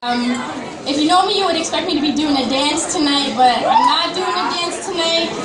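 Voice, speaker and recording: Crowd noise sits behind a woman whose extremely high pitch shows ordinary variation as she talks at a fairly quick pace. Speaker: spoken word poet performing at a student coffee house. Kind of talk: casual intro talk to an audience. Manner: casual, nervous, conversational.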